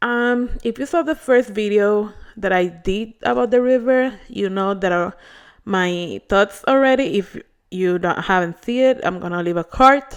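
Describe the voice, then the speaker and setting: A woman with a medium-pitched voice talks at a fairly slow pace with lively intonation. The recording is very clean, with a silent background. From Puerto Rico. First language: Spanish. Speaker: beauty vlogger. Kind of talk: hair care tutorial vlog. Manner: casual, hesitant with fillers.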